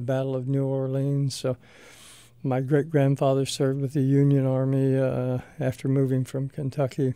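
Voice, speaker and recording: Over noticeable background noise, a man with a medium pitch speaks with an American accent. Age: 60s. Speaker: retired army colonel and radiologist. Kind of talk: radio interview. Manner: halting, many fillers.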